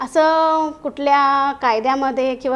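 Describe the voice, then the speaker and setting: This woman's high-pitched voice carries fairly even intonation. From Maharashtra, Satara. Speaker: parliamentary candidate. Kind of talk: interview. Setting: studio.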